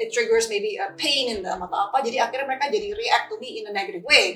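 The speaker goes at a very fast pace with an animated tone and very wide pitch swings. Music plays in the background. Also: woman. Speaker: skincare company founder and formulator. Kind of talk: casual interview, code-switching Indonesian and English.

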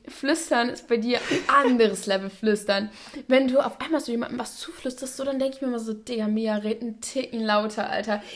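Over noticeable background noise, a woman talks at a fairly quick pace in an animated tone, her fairly high pitch showing ordinary variation. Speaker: podcast host. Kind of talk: casual chat. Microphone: new microphone setup.

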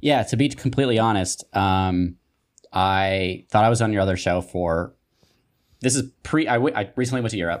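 This man has an American accent and a fairly low pitch. He talks at a moderate pace with ordinary pitch variation. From Utah. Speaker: writer. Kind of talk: casual chat. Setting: video call.

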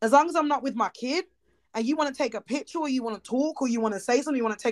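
The words come at a very fast pace with ordinary pitch variation. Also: woman, high pitch for a woman.

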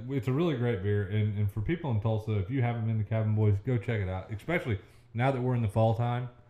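In an American accent, a man talks very fast at a medium pitch. His voice is somewhat breathy, with ordinary pitch variation. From Oklahoma. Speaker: podcast co-host, lumber salesman. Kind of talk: casual chat.

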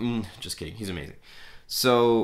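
The voice has a bright, sharp tone and keeps a moderate pace. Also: man. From Canada. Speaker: film podcast host. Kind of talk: casual solo talk. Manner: hesitant, many fillers.

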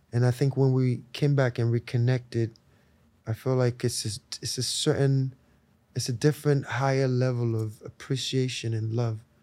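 Recorded very cleanly against a silent background, a man with an American accent talks at a moderate pace and medium pitch, his dark, mellow tone held to a flat monotone. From Nigeria (Lagos). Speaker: musician. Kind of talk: casual chat. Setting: outdoors.

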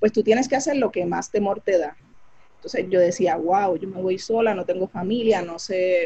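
Somewhat breathy and dark, mellow in tone, a woman speaks at a medium pitch and a moderate pace with ordinary pitch variation. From Puerto Rico, Carolina. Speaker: physician, physiatrist. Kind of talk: interview about her life story.

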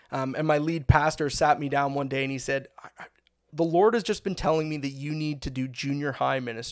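With a Canadian accent, a man talks at a fairly quick pace in an ordinary speaking voice, fairly high-pitched, with ordinary pitch variation. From Ontario, Canada (Bradford area). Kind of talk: testimony.

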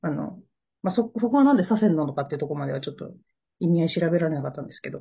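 A woman's very fast, somewhat breathy speech, fairly low in pitch, with very wide pitch swings and big swings in loudness. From Japan. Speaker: podcast co-host. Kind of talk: casual chat.

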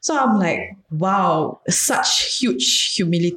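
A woman speaks with a Singaporean accent and ordinary pitch variation. Noticeable background noise runs under her voice. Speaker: podcast host. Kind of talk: casual chat.

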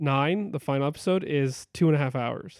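Recorded with a dry, close sound with no echo, a man with a normal speaking voice talks at a fairly quick pace, his fairly high pitch showing ordinary variation. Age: 30s. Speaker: movie podcast co-host and photographer. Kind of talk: casual chat.

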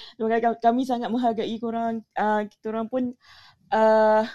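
A woman's fairly high yet dark, mellow voice at a moderate pace, dry and close with no echo. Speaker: room moderator. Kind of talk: casual chat. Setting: audio chat room. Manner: animated.

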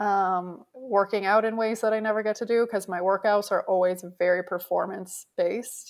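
A woman with a Canadian accent speaks at a medium pitch and a moderate pace, with hardly any pauses. Her intonation is monotone and flat in a very clean recording with a silent background. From Canada. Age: 30s. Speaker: professional beach volleyball player. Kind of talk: interview.

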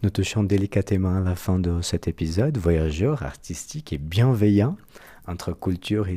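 Recorded very cleanly with a silent background, a man speaks at a moderate pace with a very deep, low pitch. His tone is dark and mellow, with lively intonation. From Brazil. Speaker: podcast host. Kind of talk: interview. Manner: formal.

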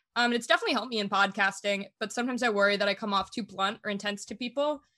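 Talking at a very fast pace, a woman with an American accent has a bright, sharp tone, a medium pitch and ordinary pitch variation. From Germany (American family abroad). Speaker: podcaster and venture fellow. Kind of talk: casual interview chat.

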